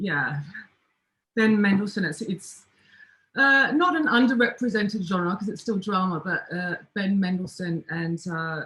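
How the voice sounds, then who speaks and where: The speaker has an Australian accent and talks at a fairly slow pace. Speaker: filmmaker. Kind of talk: livestream interview.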